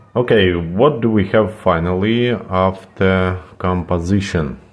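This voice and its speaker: Very slow speech comes from a man with a very deep, low pitch. He has a non-native accent and fairly even intonation. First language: not English. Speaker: computer repair technician. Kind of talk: tutorial. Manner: halting, many fillers.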